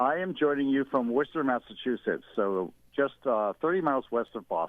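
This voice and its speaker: This man has an unremarkable speaking voice at a medium pitch. He moves at a fairly quick pace with lively intonation. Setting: radio call-in.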